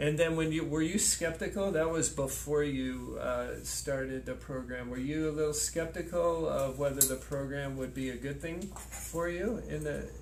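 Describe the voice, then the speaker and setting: A man speaks at a moderate pace. There are hardly any pauses. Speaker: health clinic practitioner. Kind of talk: interview questions, testimonial video.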